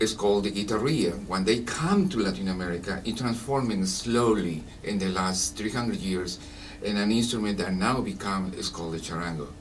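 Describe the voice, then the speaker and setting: Noticeable background noise and audible room echo surround a man with a Peruvian accent who speaks fairly quickly at a fairly low pitch, his pitch varying in an ordinary way. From Peru, Lima. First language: Spanish. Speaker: Andean folk musician. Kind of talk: radio interview. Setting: radio studio.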